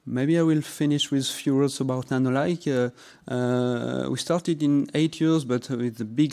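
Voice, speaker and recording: A man talks with a French accent. His tone is dark and mellow. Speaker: company representative. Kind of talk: sales pitch. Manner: halting.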